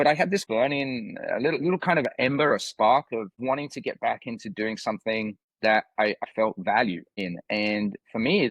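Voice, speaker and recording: Speaking at a moderate pace, a man uses a medium pitch and lively intonation. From UK, small village. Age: 50s. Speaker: youth fitness coach. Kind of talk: podcast interview. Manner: halting, many fillers and repetitions.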